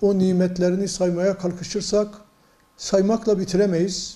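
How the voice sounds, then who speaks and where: A man talks at a fairly slow pace, his pitch high. His intonation is monotone and flat. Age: 60s. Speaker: provincial mufti, religious official. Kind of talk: religious advice talk to news camera. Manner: measured, preacher-like with hesitations.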